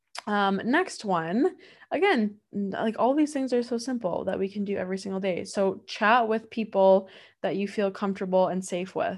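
Against a quiet background, a woman talks at a moderate pace and medium pitch with ordinary pitch variation. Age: 20s. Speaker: wellness podcast host. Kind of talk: casual solo podcast talk. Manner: warm, chatty with many fillers.

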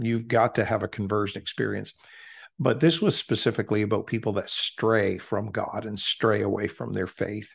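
A man with vocal fry speaks at a medium pitch with fairly even intonation against a quiet background. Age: 60s. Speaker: preacher. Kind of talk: interview.

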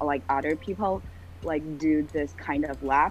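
A woman with a very deep, low pitch and vocal fry speaks at a moderate pace. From China, Shenzhen. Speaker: university student. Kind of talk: casual chat. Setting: video call.

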